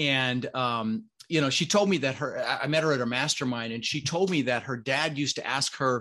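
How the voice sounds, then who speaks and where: With an American accent, a man talks in a medium pitch and a bright, sharp tone against a quiet background. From Denver, Colorado, US. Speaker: real estate entrepreneur. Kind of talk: interview. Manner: animated.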